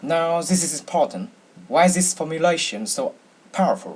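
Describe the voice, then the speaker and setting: A man with a Vietnamese accent speaks in a high pitch. His pace is moderate. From Vietnam, Hanoi. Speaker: university student. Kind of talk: speech contest entry. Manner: halting, with fillers.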